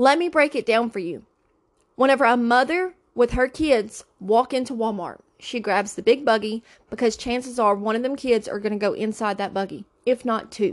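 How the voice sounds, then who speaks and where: A woman's animated, fairly high-pitched voice with a Louisiana accent. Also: ordinary pitch variation, moderate pace, quiet background. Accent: Southern US (Louisiana). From Louisiana, US South. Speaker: podcast host. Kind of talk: casual chat. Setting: sitting in a closet.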